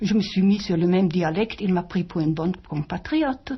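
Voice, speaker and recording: A woman speaks with a German accent at a medium pitch. Her voice is somewhat breathy, with lively intonation. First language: German (speaking French). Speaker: author and wartime witness. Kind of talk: interview. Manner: halting.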